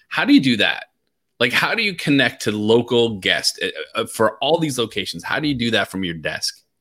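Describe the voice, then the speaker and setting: With an unremarkable speaking voice, a man of medium pitch talks at a moderate pace using lively intonation. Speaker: podcast host. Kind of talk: livestream interview. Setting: video call. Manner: excitable.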